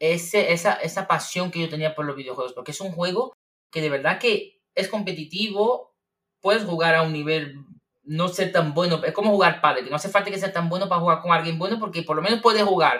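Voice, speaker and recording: Speaking at a fairly quick pace, a man uses a high pitch with ordinary variation. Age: 30s. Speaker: Michelin-starred chef and gaming streamer. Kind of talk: casual interview chat.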